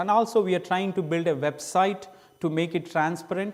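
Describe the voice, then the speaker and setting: A man talks at a moderate pace with an Indian accent. His pitch varies in an ordinary way. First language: Indian language. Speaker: missionary preacher. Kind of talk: church presentation. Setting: church. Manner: halting.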